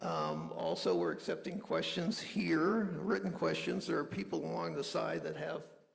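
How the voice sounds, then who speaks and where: A man keeps a moderate pace while audible room echo follows his voice. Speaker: neighborhood association president. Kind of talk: town hall meeting opening remarks. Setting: community meeting with audience. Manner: halting, with fillers and restarts.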